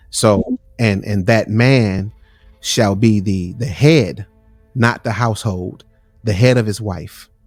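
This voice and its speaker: Music plays in the background as a man speaks. His pitch is fairly low, with ordinary pitch variation. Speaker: podcast host. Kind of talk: casual podcast conversation. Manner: casual, repetitive.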